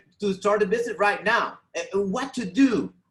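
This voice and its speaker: A man's high voice with a Venezuelan accent, ordinary pitch variation and a moderate pace. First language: Spanish. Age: 40s. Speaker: network marketing distributor. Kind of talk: testimony. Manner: halting, many repeated words.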